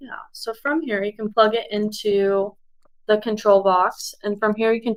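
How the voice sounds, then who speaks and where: A woman with a fairly high pitch. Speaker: sales manager. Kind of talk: live product Q&A webinar. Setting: live video stream. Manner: fast.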